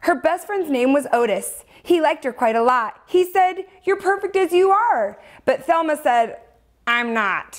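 At a fairly slow pace, a woman speaks at an extremely high pitch with very wide pitch swings. The background is quiet. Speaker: children's story host. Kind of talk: storytime reading to kids. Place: studio.

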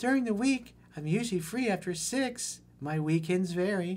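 A put-on character voice with lively intonation. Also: man, high pitch for a man, moderate pace.

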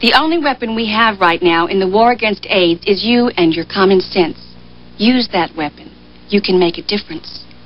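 Using lively intonation and a medium pitch, a woman speaks at a moderate pace with long, frequent pauses.

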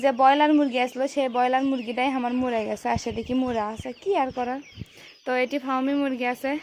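The speaker is a woman with a high pitch. Her intonation stays monotone and flat. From Bogura, northern Bangladesh. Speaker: poultry farmer and vlogger. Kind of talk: casual vlog talk to camera.

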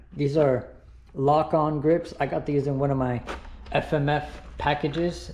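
A man speaks at a fairly slow pace. There is light background noise and audible room echo. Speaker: dirt bike hobbyist vlogger. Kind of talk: casual vlog chat. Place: garage. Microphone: phone near.

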